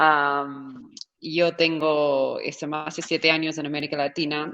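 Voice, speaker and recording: Against a quiet background, a woman speaks in a very deep, low voice with fairly even intonation. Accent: American. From California, US. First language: English (speaking Spanish). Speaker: startup founder. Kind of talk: panel discussion.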